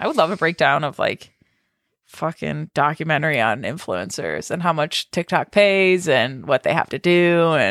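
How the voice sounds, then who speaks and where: Lively intonation and vocal fry come through at a moderate pace in a very clean recording with a silent background and a dry, close sound with no echo. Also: woman, very deep, low pitch for a woman. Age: 30s. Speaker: podcast co-host. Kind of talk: casual chat. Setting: recording at a co-host's new house.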